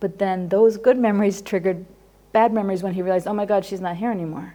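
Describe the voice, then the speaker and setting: With a dark, mellow tone and fairly even intonation, a woman talks in an American accent. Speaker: psychologist teaching a class. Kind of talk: lecture. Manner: fast.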